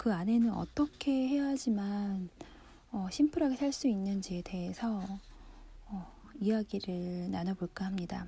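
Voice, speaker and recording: A woman's dark, mellow, somewhat breathy voice at medium pitch, lively in intonation and fairly slow in pace. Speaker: book-reading radio host. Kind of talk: relaxed radio-style book reading, sleep listening.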